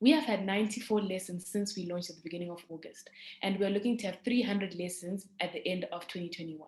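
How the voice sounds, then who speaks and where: At a very fast pace, a woman speaks in a somewhat breathy medium-pitched voice with ordinary pitch variation and big swings in loudness. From South Africa (moved from Zimbabwe at seven). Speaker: startup founder. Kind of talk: pitch presentation.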